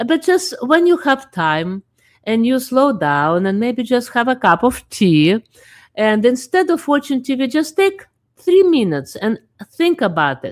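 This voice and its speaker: A woman's high-pitched voice at a fairly slow pace, with very wide pitch swings, on a very clean recording with a silent background. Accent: non-native. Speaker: talk show host. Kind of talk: casual chat. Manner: halting.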